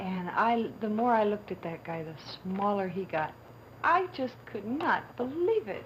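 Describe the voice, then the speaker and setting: Noticeable background noise surrounds a woman with an American accent. She talks at a fairly slow pace with lively intonation and a medium pitch. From Kentucky. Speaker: documentary subject, woman born without arms. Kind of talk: interview testimony. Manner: halting.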